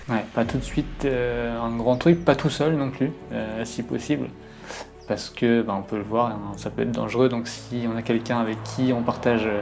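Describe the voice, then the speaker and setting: A man's fairly even intonation over music in the background. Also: medium pitch for a man, moderate pace. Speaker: urban explorer, YouTuber. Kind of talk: casual chat. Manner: speaking quietly.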